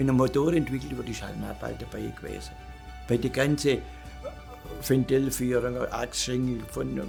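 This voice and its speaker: Music in the background behind a man talking at a moderate pace. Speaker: retired works council chairman, master machinist. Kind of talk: interview answer. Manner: blunt, outspoken.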